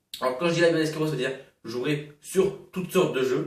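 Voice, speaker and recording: A man talking very fast, amid audible room echo and noticeable background noise. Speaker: gaming YouTuber. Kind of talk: casual channel update vlog. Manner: hesitant, many fillers.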